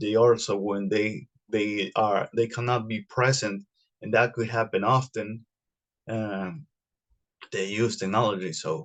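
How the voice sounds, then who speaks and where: Fairly slow delivery in a non-native accent, with long, frequent pauses and fairly even intonation. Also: man, medium pitch for a man. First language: not English. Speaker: podcast host. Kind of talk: solo podcast monologue. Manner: halting, many fillers and repetitions.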